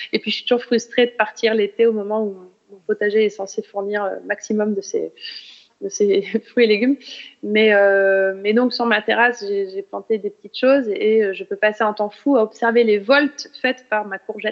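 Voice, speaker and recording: Here a woman speaks at a moderate pace. Her pitch sits fairly high. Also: fairly even intonation. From France, Burgundy (Nevers). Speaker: journalist and author. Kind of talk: audience Q&A at a talk. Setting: stage with audience. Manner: hesitant, many fillers.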